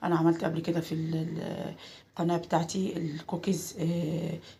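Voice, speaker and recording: Her pace fairly slow, the woman talks in a fairly low register. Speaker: cooking channel host. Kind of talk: cooking tutorial. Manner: halting, many filler sounds.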